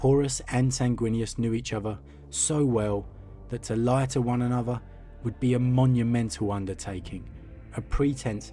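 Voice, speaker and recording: A man speaks at a fairly slow pace and medium pitch with ordinary pitch variation. Music plays in the background. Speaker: lore narrator. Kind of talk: read story.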